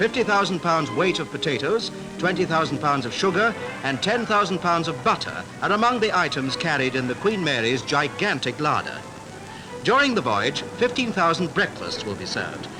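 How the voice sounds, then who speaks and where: With music playing in the background, a man speaks at a moderate pace in a high pitch. His pitch swings very widely. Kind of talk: newsreel narration.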